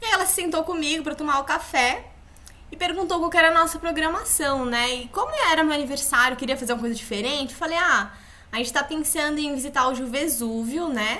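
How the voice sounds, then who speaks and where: Raised and projected, a woman's high voice carries lively intonation over noticeable background noise and audible room echo. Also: fairly quick pace. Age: 20s. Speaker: podcast co-host, yoga instructor. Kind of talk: casual chat, storytelling.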